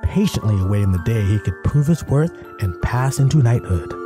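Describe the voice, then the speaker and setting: With music in the background, a man speaks in a fairly low voice at a moderate pace with ordinary pitch variation. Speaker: voice actor. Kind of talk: fairy tale storytelling.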